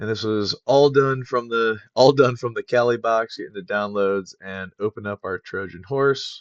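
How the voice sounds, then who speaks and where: An unremarkable speaking voice at a moderate pace, with fairly even intonation, big swings in loudness and hardly any pauses. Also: man, medium pitch for a man. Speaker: cybersecurity tutorial maker. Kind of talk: tutorial.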